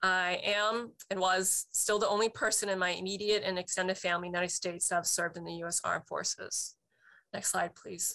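A woman with an American accent talks at a fairly quick pace in a bright, sharp tone. Her intonation is monotone and flat, against a quiet background. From Boston. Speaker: military veteran. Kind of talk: testimony. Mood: reflective, personal.

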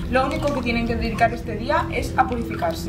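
A woman at a fairly quick pace over loud background noise. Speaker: travel vlogger. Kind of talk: casual vlog chat. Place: garden. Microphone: camera far.

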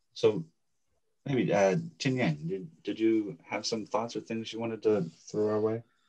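Speaking with an American accent, a man uses a dark, mellow tone at a fairly slow pace with ordinary pitch variation. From Southern California (Los Angeles, Orange County). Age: 40s. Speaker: architect and professor. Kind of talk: casual academic conversation. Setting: video call.

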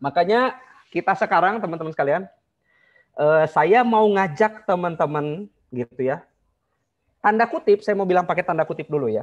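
A man speaks at a moderate pace and high pitch, leaving long, frequent pauses. The background is quiet. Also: ordinary pitch variation. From Bandung, West Java; West Java. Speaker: marriage consultant; online class teacher. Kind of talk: online class lecture. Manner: animated. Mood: relaxed, conversational. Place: home room. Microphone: video call.

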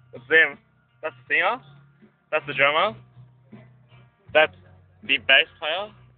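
A man speaks at a fairly slow pace with ordinary pitch variation and big swings in loudness. The sound is dry with no echo, and faint music plays in the background. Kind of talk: casual vlog chat. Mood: playful, joking. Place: car. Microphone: phone near.

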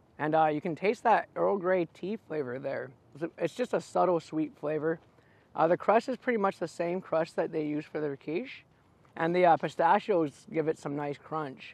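In a dry sound with no echo, a man talks at a moderate pace with a high pitch and ordinary pitch variation. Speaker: food vlogger. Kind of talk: casual food review vlog chat. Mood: cheerful, playful. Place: open country. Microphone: lapel.

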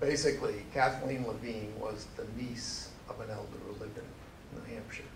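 Talking at an even tempo, a man is heard over clear background noise. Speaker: presenter. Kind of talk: lecture. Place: hall.

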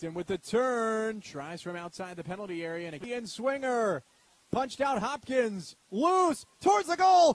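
A man's high, excited voice with very wide pitch swings and big swings in loudness at a moderate pace. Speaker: soccer commentator. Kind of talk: live sports commentary. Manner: excited, building to a celebratory call at the finish.

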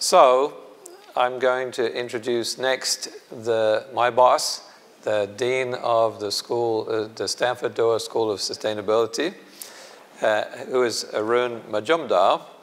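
A man talks at a very slow pace with fairly even intonation. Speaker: professor and institute director. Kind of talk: conference opening remarks. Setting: stage with audience. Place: hall. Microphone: podium.

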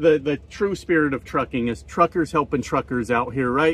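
A man speaks at a moderate pace in a dry sound with no echo. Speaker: truck driver vlogger. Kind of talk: casual vlog chat, storytelling. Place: car. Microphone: phone near.

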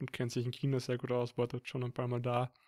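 A man speaks at a medium pitch, recorded dry and close with no echo. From Upper Austria. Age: 20s. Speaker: podcast co-host, student. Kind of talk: casual chat.

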